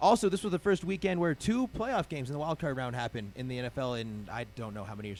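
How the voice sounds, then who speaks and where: Very fast speech from a man, with very wide pitch swings. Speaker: sports radio show host. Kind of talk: casual sports talk panel. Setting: radio studio.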